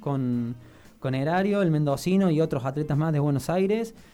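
The speaker is a man. His tone is dark and mellow. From Argentina, Río Cuarto (Córdoba). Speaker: athlete. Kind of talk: radio interview. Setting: studio.

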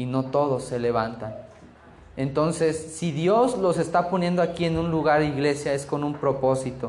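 A man with a fairly high pitch speaks in a room with audible echo. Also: ordinary pitch variation, moderate pace. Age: 20s. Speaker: guest preacher, bible school student. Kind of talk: sermon.

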